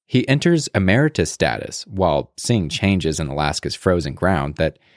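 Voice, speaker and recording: With vocal fry and a very deep, low pitch, this man's voice swings very widely in pitch, captured in a very clean recording with a silent background and a dry, close sound with no echo. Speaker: podcast announcer. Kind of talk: scripted intro and outro.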